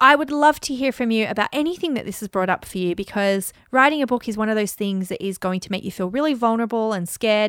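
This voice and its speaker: A woman with an Australian accent, fairly high in pitch, in an animated tone with lively intonation, in a dry, close sound with no echo on a very clean recording with a silent background. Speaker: podcast host, business coach and author. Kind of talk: solo podcast monologue.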